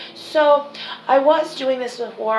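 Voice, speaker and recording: There is audible room echo and noticeable background noise around this woman's voice. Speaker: psychic medium. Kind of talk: psychic reading monologue. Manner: filler-heavy, halting.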